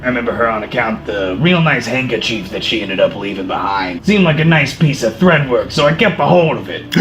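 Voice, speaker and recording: A man's put-on character voice at medium pitch and a very fast pace, over clear background noise. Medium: actual play. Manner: folksy, chatty.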